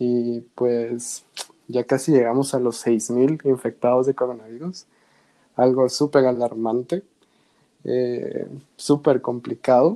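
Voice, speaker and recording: The tone is dark and mellow, with fairly even intonation. Delivery is very slow, broken by long, frequent pauses. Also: man, medium pitch for a man. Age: 20s. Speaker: podcast host. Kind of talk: casual chat.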